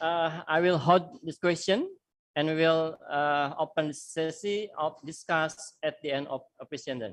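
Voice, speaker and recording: A woman speaks fairly slowly in a very deep, low voice with an Indonesian accent and ordinary pitch variation. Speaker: university lecturer and moderator. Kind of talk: webinar moderation.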